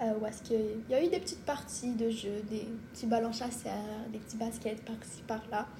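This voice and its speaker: A woman with a fairly high, monotone, flat voice is heard over noticeable background noise with audible room echo. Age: 20s. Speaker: medical student. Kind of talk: casual chat.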